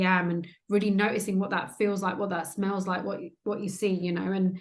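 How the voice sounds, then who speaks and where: Fairly quick and monotone, with flat intonation, a woman speaks at a medium pitch. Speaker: trauma transformation coach. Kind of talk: interview conversation. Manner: hesitant, filler words.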